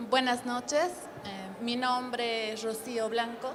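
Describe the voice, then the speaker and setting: Speech at a fairly slow pace comes with audible room echo and music in the background. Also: woman. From Bolivia. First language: Spanish. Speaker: game developer. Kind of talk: conference panel introduction.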